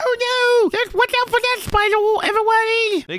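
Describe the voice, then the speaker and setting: A squeaky put-on character voice with an extremely high pitch. The pace is moderate. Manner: alarmed, playful.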